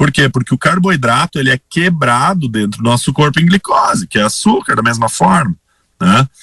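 A man speaks at a moderate pace in a bright, sharp tone, his fairly high pitch swinging very widely while his loudness stays very even, with a dry, close sound and no echo. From Rio Grande do Sul, Brazil (Sinimbu, near Santa Cruz). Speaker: cardiologist. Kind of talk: radio interview.

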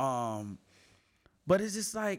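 An animated man on a very clean recording with a silent background. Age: 20s. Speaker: podcast host. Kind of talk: casual monologue.

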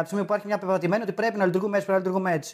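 The man has a high-pitched voice. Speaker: comedian. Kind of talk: casual chat.

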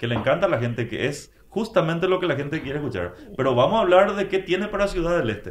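Over noticeable background noise, a man talks at a very fast pace with a high pitch and lively intonation. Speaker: broadcaster and political scientist. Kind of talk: casual interview.

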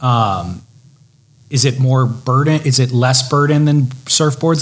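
A man speaks with an American accent at a medium pitch. His voice is somewhat breathy, and his intonation stays fairly even. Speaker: podcast host. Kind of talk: interview.

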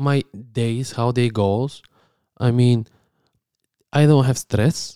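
With a Bulgarian accent, a man speaks in a dark, mellow tone, leaving long, frequent pauses, the sound dry and close with no echo. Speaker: podcast co-host. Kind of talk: casual chat.

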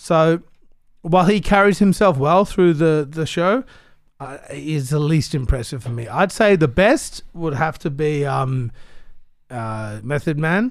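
Speaking at a fairly slow pace in an Australian accent, a man uses a fairly high pitch and lively intonation. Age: 30s. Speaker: rapper. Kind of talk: casual chat.

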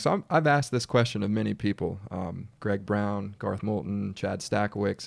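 In an American accent, a man with a fairly low pitch speaks in a plain, everyday voice with ordinary pitch variation, recorded very cleanly against a silent background. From Washington DC area. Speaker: podcast host. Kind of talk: interview.

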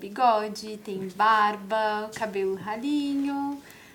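Heard with audible room echo, the speech moves at a very slow pace with ordinary pitch variation. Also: woman. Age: 40s. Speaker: parent museum visitor. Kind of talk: casual interview. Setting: studio.

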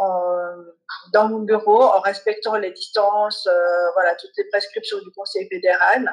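Speaking fairly slowly, a woman has an ordinary speaking voice pitched fairly high. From Switzerland. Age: 40s. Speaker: family lawyer and mediator. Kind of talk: interview.

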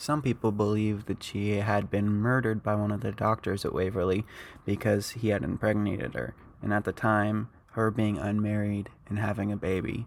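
On a very clean recording with a silent background, a man with a fairly low pitch and an ordinary speaking voice talks at a moderate pace with fairly even intonation. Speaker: podcast host. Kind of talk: true-crime horror narration, scripted-style storytelling read to listeners. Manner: measured, ominous, steady pacing with a spooky storyteller tone; casual and friendly when chatting with listeners at the end.

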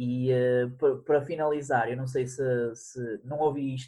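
The voice moves at a very slow pace, somewhat breathy and monotone in intonation. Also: man. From northern Portugal, Guimarães area. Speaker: podcaster. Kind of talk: casual chat.

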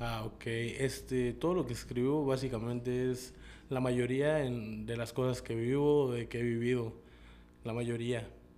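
A dark, mellow tone with monotone, flat intonation at a fairly slow pace, with audible room echo. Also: man, medium pitch for a man. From Chiapas, Mexico. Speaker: rapper. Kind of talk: interview.

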